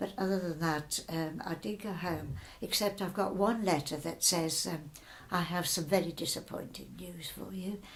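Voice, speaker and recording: Vocal fry runs through this voice, which holds a moderate pace and ordinary pitch variation. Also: woman, fairly low pitch for a woman. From Birmingham, England. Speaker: wartime evacuee. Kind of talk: oral history interview answer.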